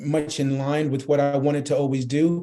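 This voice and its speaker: A man talks with a New York accent. His tone is dark and mellow, his intonation monotone and flat. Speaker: marketing executive. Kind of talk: interview.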